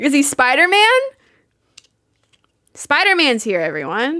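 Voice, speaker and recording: A woman's high, raised and projected voice, animated in tone, with very wide pitch swings at a fairly slow pace. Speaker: art streamer. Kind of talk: live stream chat while painting. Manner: loud.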